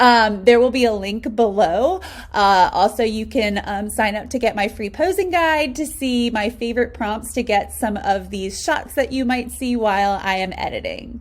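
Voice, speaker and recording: A woman with an American accent, fairly high-pitched, at a moderate pace with ordinary pitch variation. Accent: slight country. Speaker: wedding photographer. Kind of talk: tutorial. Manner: casual, filler-heavy.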